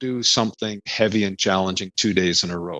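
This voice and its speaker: A man with an ordinary speaking voice and a Canadian accent, fairly quick pace, ordinary pitch variation, and a dry, close sound with no echo. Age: 60s. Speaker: spine biomechanics professor. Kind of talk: interview.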